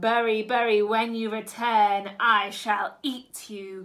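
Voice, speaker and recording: Putting on a growling character voice, a woman speaks fairly slowly at a fairly high pitch with monotone, flat intonation. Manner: threatening.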